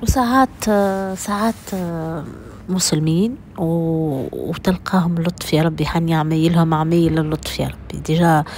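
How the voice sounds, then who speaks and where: Amid noticeable background noise, a woman with a fairly low pitch talks very slowly with ordinary pitch variation. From Tunisia. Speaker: vlogger. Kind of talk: casual vlog talk to viewers. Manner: halting, many fillers.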